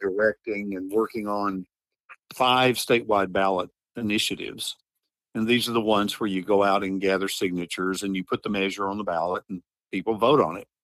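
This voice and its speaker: Speaking fairly quickly with a Southern US accent, a man uses a fairly low pitch and fairly even intonation in a dry, close sound with no echo. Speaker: advocacy group director. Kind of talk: interview.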